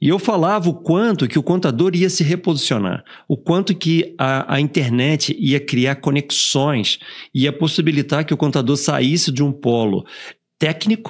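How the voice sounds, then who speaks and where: In a very clean recording with a silent background, a man with an ordinary speaking voice talks at a fairly slow pace, his fairly high pitch carried by lively intonation. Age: 60s. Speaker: company CEO hosting podcast. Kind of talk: podcast interview.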